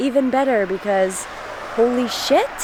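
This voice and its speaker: Background noise is noticeable throughout. A woman does the talking. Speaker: travel vlogger. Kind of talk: casual vlog narration. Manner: animated.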